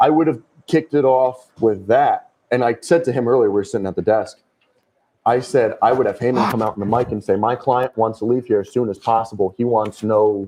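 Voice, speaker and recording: A man with a Connecticut accent, medium in pitch, fairly quick in pace, with ordinary pitch variation. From southwestern Connecticut. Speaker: wrestling fan panelist. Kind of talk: casual chat. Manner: animated.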